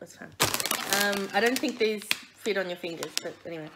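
A woman speaks with noticeable background noise around her. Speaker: food review host. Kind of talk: casual vlog chat. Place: home room. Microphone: phone near.

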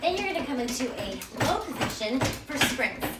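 A woman speaks with lively intonation at a fairly high pitch, and the room echo is audible.

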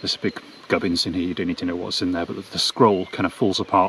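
The voice is a man's, very deep and low in pitch. The sound is dry with no echo, with light background noise. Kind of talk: tutorial. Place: open country. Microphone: phone near.

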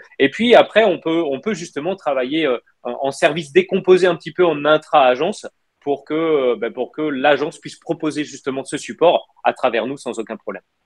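An unremarkable speaking voice moves at a moderate pace with ordinary pitch variation and big swings in loudness, over a quiet background. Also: man, fairly high pitch for a man. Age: 30s. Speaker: wealth management consultant; interview guest. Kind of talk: live interview. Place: home room. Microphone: video call.

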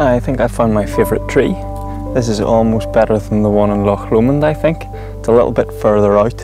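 A man at a moderate pace, dry sound with no echo, music in the background. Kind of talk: casual vlog chat. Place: waterside. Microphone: phone near.

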